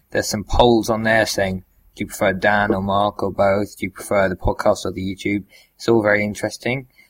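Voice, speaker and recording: A man's fairly low, monotone voice with a British accent at a fairly quick pace, flat in intonation, on a very clean recording with a silent background. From Britain. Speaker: podcast co-host. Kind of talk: casual chat.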